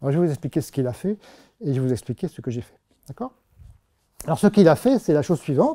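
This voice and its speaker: A man with a fairly high pitch and a dark, mellow tone speaks very fast, with very wide pitch swings, big swings in loudness and long, frequent pauses over a quiet background. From France. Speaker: mathematician giving a public talk. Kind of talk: public lecture. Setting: stage with audience. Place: classroom.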